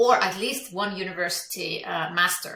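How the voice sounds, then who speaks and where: A woman with ordinary pitch variation and audible room echo. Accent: Icelandic. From Iceland. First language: Icelandic. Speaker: business coach. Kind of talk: interview. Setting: podcast.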